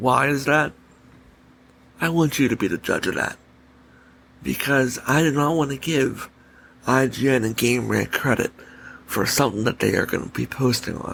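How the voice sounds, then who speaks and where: A soft-spoken man talks at a fairly quick pace with vocal fry and a medium pitch. His pitch varies in an ordinary way, broken by long, frequent pauses. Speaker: gaming podcast host. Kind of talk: solo podcast commentary. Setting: home recording late at night. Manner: soft, under his breath; animated, opinionated.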